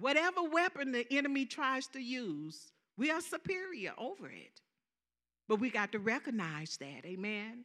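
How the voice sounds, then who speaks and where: A woman with a Southern US accent speaks at a high pitch and moderate pace in a bright, sharp tone. Her pitch swings very widely and her loudness shifts in big swings. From US South. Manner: animated.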